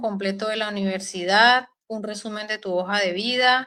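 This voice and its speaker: A woman speaks at a fairly slow pace. Her pitch is medium and her tone bright and sharp. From Colombia, Huila. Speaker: doctor. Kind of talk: interview. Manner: hesitant.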